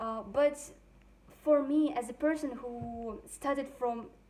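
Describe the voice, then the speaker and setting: There is noticeable background noise. A woman talks at a fairly slow pace. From Russia. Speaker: language student. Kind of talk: testimony. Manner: halting, many fillers.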